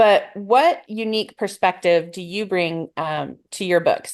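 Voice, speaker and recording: Against a quiet background, a woman speaks with an American accent in a normal speaking voice. Her pitch is medium, with ordinary variation. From US Midwest, northern Illinois. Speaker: panel moderator. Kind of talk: panel discussion.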